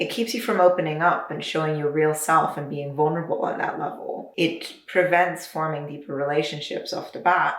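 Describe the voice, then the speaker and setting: Someone with a North American accent speaks at a moderate pace amid noticeable background noise and audible room echo. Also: woman. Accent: North American-sounding, picked up online. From Luxembourg. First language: Luxembourgish. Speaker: video essayist. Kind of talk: video essay. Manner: casual, animated.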